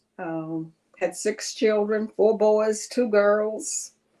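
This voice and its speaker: A woman's medium-pitched voice in a Southern US accent, very slow in pace, with ordinary pitch variation. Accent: Southern American. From Alabama (Huntsville area). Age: 70s. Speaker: retiree. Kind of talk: interview.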